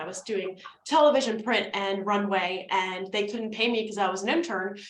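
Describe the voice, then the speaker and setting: A woman with an American accent speaks fairly quickly in a fairly high pitch, animated in tone with ordinary pitch variation. There is noticeable background noise and audible room echo. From New Jersey, US (North Jersey). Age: 30s. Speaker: business coach and networking presenter. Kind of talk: presentation / webinar. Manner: fast.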